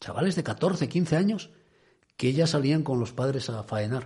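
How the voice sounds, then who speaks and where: A man speaks at a moderate pace in a fairly high pitch with lively intonation. His tone is dark, mellow and somewhat breathy. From Asturias (Cudillero). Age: 50s. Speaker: radio host. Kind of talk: radio talk show.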